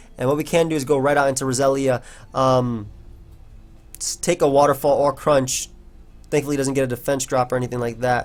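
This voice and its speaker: A man speaks fairly quickly at a medium pitch, in a monotone, flat intonation. Long, frequent pauses break his speech, with music in the background. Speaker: gaming commentator. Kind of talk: live gameplay commentary. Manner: casual, filler-heavy.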